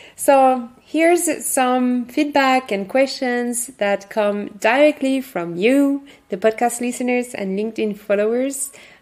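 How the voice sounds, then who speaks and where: Speaking with a French accent, a woman uses a high pitch with ordinary pitch variation. Her pace is very slow, yet she hardly pauses. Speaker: podcast host, workshop facilitator. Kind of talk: podcast monologue. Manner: halting.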